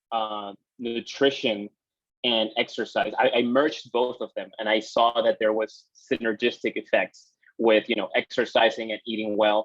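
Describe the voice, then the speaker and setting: Speaking in a Peruvian accent, a man uses a medium pitch and fairly even intonation at a fairly slow pace. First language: Spanish. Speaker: exercise physiologist. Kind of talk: guest talk to students.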